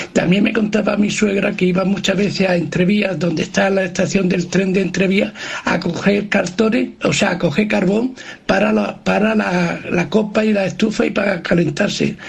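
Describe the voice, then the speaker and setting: Noticeable background noise sits behind a man with a high pitch. His loudness is very even and his intonation fairly even. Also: moderate pace. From Andalusia. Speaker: radio listener. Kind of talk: voice message. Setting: recorded voice note.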